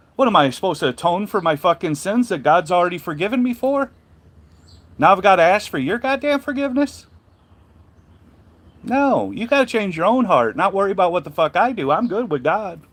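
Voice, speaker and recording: A man talks at a fairly quick pace in a high pitch, his voice swinging very widely in pitch between long, frequent pauses. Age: 50s. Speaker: truck driver and carrier owner. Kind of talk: casual monologue livestream. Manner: animated.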